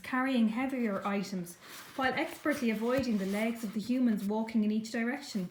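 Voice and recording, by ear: The voice reads aloud in a natural voice.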